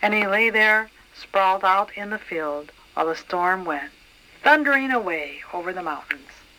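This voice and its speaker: A woman speaks at a medium pitch. There is noticeable background noise behind her. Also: lively intonation, moderate pace. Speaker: grandmother reading to grandchildren. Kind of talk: children's story read aloud.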